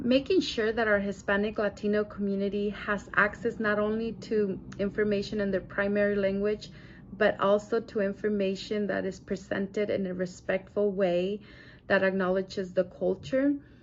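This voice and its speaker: A woman's medium-pitched voice keeps a monotone, flat intonation at a moderate pace. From Mexico. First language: Spanish. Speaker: bilingual programs coordinator. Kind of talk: prerecorded video statement.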